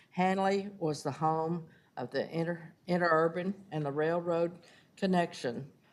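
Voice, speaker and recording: With ordinary pitch variation, this woman talks fairly slowly. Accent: Texan. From Texas, Fort Worth. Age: 80s+. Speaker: neighborhood association president. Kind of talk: public comment at council meeting. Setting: city council chamber.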